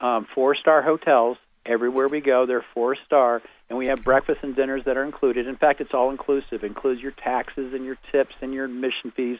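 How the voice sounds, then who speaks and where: A man talks at a fairly quick pace. His medium-pitched voice stays monotone and flat. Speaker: tour organizer. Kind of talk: promotional pitch on phone-in radio. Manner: fast.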